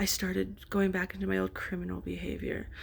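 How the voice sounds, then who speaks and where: A woman speaks quietly. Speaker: vlogger in addiction recovery. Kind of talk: casual vlog monologue. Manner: hesitant, many fillers.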